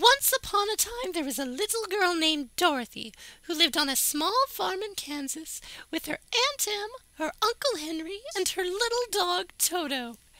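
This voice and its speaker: A woman's squeaky, put-on character voice, extremely high in pitch with very wide pitch swings, at a moderate pace. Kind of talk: bedtime story with snarky asides. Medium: read story. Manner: wry, sarcastic.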